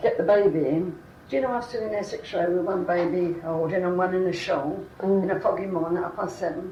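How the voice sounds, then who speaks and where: A woman speaks at a very fast pace with fairly even intonation. Noticeable background noise can be heard. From London. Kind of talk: oral history interview answer.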